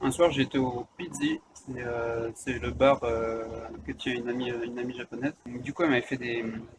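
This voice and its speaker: A man talks while noticeable background noise carries on. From France. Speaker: vlogger. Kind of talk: casual chat. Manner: halting, many fillers.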